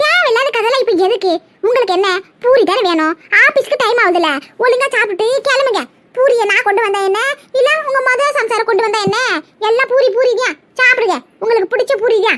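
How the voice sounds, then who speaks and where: A woman performs a cartoonish character voice at an extremely high pitch and a moderate pace. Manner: sly, cheeky.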